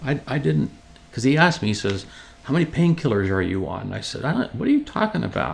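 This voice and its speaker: The speaker talks at a very fast clip with a lively, bouncing intonation. Background noise is noticeable throughout. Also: man. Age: 60s. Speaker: cancer patient. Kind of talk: personal testimony interview. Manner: conversational with frequent fillers and restarts.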